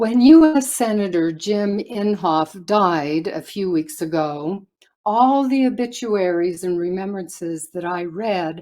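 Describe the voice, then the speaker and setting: A dark, mellow tone carries lively intonation at a very slow pace. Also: woman. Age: 70s. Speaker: public commenter at a hearing. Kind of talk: prepared public comment statement. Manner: formal.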